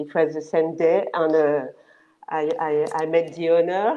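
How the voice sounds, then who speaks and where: A woman's fairly low voice with a French accent, a dark, mellow tone and monotone, flat intonation. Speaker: location manager. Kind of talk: panel interview. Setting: video call. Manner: halting.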